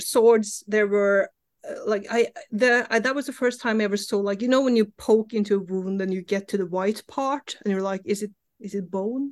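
With a Norwegian accent, a woman speaks at a moderate pace, her fairly high pitch showing ordinary variation. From Norway. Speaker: comic book writer. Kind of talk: interview.

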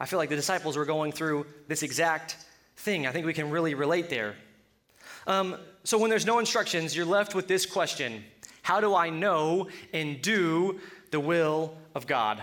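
At a moderate pace, a man with a Colorado accent speaks with a fairly high pitch and a bright, sharp tone. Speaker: preacher. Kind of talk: sermon. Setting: church. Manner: halting.

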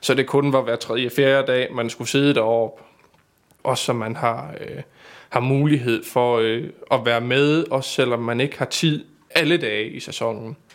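A man talks in an ordinary speaking voice at medium pitch, fairly slow and with fairly even intonation. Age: 20s. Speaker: stage pyrotechnician. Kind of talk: casual interview.

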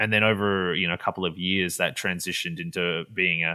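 The tone is bright and sharp, with an Australian accent and fairly even intonation. Delivery is very fast on a very clean recording with a silent background. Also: man. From Western Australia (Perth). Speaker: film director. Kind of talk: casual interview chat.

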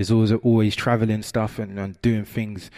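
With a plain, everyday voice, a man speaks at a medium pitch and a moderate pace in a very clean recording with a silent background. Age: 20s. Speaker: youth worker. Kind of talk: talk at a conference.

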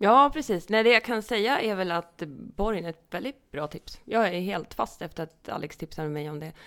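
A woman's normal speaking voice at medium pitch, with lively intonation, big swings in loudness and a moderate pace, on a very clean recording with a silent background. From Hälsingland, Sweden (Edsbyn). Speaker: podcast co-host. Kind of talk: casual chat.

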